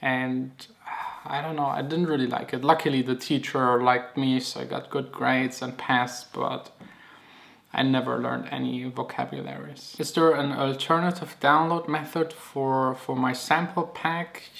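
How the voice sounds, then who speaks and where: A man with a non-native accent speaks at a medium pitch and moderate pace, with fairly even intonation. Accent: non-native English, noticeable. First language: German. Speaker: DJ and music producer. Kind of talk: Q&A vlog. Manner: casual, some filler words.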